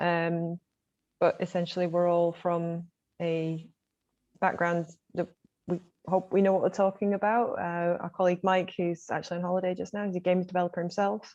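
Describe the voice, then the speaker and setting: A woman speaks at a moderate pace in a fairly low pitch. Her intonation is monotone and flat, broken by long, frequent pauses. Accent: Mancunian. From Manchester, northern England. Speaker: games fund community manager. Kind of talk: online panel talk.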